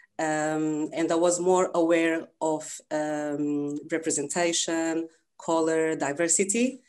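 Someone speaks very slowly with a Portuguese accent and fairly even intonation. The background is quiet. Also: woman, fairly low pitch for a woman. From Lisbon, Portugal. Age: 30s. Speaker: swim coach and business founder. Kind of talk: casual interview. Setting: video call.

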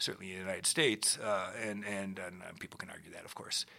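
Speaking with an American accent, a man has a very deep, low pitch. His tone is bright and sharp. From US Midwest, Minneapolis. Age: 60s. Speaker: retired orchestra executive. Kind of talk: interview. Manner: halting, many repetitions.

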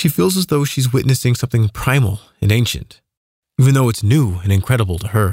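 A man talks at a fairly quick pace with lively intonation, a calm tone and a somewhat breathy voice. The sound is dry and close, with no echo. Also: medium pitch for a man. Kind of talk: fiction audiobook narration. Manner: calm, even, measured storyteller pacing.

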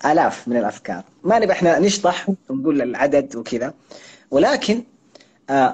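A man speaks at a moderate pace with a fairly high pitch. His pitch swings very widely, and he takes long, frequent pauses. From Saudi Arabia, Jeddah (Hejaz). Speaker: content creator and author. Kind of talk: interview.

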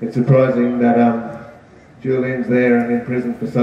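A man with an Australian accent and a medium-pitched voice, audible room echo and noticeable background noise. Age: 50s. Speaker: activist speaker. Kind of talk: rally speech. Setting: outdoor rally. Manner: halting.

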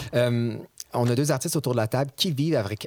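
A man speaks with a Quebec accent and ordinary pitch variation. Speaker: podcast host. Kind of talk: casual interview chat. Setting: studio.

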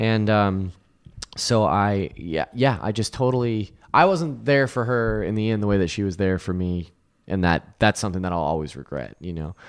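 Against a quiet background, a man with a fairly low pitch talks at a moderate pace with lively intonation. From California, Central Valley (Lodi). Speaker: video producer. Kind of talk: storytelling; casual chat.

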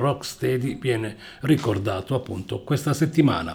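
With a relaxed tone and a somewhat breathy voice, a man speaks at a moderate pace and a medium pitch. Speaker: radio DJ. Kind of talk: radio DJ patter, announcing tracks and gig news between songs. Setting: radio studio. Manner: conversational, fluent and relaxed; informative, steady announcer delivery.

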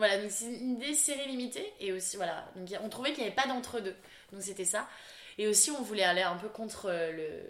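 Bubbly in tone, a woman speaks fairly quickly at a fairly high pitch with ordinary pitch variation. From France, Lille. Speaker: fashion brand founder and designer. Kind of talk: interview. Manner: bubbly, lively.

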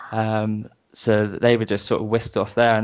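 This man has a British accent and a fairly low pitch. He speaks at a moderate pace in a monotone, flat intonation. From southern England (Brighton). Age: 30s. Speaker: musician. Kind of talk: casual interview, telling personal story. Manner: halting, many fillers.

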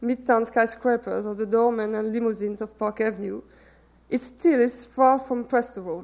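A woman's fairly high voice in a French accent, at a moderate pace with ordinary pitch variation. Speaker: novelist. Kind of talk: reading aloud. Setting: stage with audience.

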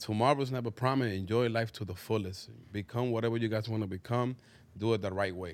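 At a very fast pace, a man with a Spanish accent speaks at a medium pitch with fairly even intonation. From Dominican Republic. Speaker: clothing brand owner. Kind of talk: casual chat. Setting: studio.

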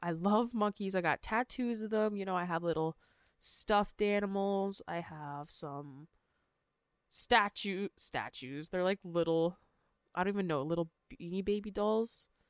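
Upbeat and lively in intonation, a woman with a Canadian accent speaks at medium pitch and a very slow pace, in a dry, close sound with no echo on a very clean recording with a silent background. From Canada, Ontario (London). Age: 20s. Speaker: podcast host. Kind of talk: casual monologue.

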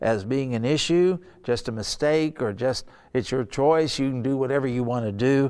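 An unremarkable speaking voice from a man, medium-pitched for a male, moderately paced, with ordinary variation in pitch. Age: 60s. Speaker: pastor. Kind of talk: sermon. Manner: casual.

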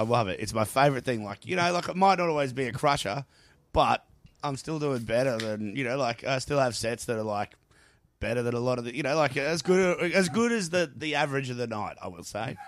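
A man with an Australian accent at a medium pitch, lively in intonation and fairly quick in pace. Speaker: comedian. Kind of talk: stand-up comedy. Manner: profane, animated, heckling the crowd.

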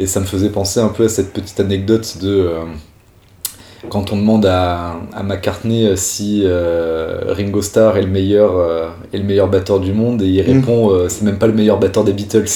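A man talks at a moderate pace with a fairly low pitch and monotone, flat intonation. Audible room echo and noticeable background noise are present. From Corsica (Ajaccio). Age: 20s. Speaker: professional bassist. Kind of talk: interview. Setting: studio. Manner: halting.

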